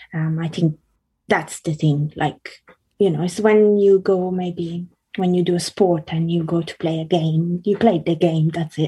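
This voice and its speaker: A woman speaks in a dark, mellow tone that is somewhat breathy. Her pace is fairly slow and her intonation monotone and flat. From Italy. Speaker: singer-songwriter and illustrator. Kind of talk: casual interview. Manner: halting, many fillers.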